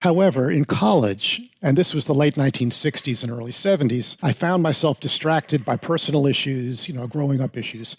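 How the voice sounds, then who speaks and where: In an American accent, a man talks at a fairly quick pace with hardly any pauses, sounding somewhat breathy. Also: ordinary pitch variation, dry, close sound with no echo. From New York City suburbs, US. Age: 70s. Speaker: piano technician and author. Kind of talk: interview. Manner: halting.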